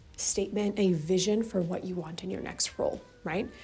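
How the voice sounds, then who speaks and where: A woman whispering at a moderate pace with music in the background. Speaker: lifestyle and career vlogger. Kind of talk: casual vlog tutorial. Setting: library.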